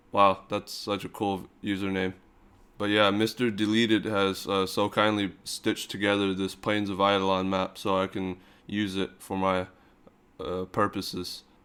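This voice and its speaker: In a very clean recording with a silent background, a man speaks at a moderate pace in a fairly low, deadpan voice with monotone, flat intonation. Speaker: gaming YouTuber. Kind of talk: casual gameplay commentary.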